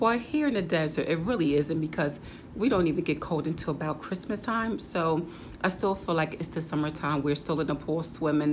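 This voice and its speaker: A woman talks at a fairly quick pace in a very deep, low pitch, with ordinary pitch variation. Light background noise sits behind her. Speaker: home decor vlogger. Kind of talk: casual vlog chat. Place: home room. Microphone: camera far.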